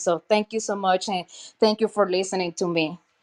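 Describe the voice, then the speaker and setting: A woman talks at a moderate pace with a Colombian accent and fairly even intonation. The sound is dry and close, with no echo. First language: Spanish. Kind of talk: testimony. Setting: online audio chat room. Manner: halting.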